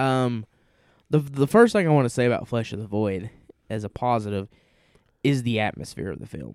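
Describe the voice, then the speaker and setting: Speaking with a Southern US accent, a man talks at a fairly quick pace with a medium pitch, ordinary pitch variation, and long, frequent pauses. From US South. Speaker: podcast co-host. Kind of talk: casual chat.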